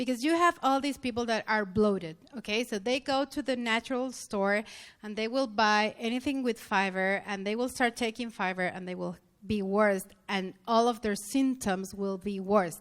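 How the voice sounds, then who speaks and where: Her pitch is fairly high and varies in an ordinary way, and the woman speaks at a moderate pace with a non-native accent. The recording is very clean, with a silent background. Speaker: health practitioner lecturer. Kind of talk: conference lecture. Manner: halting.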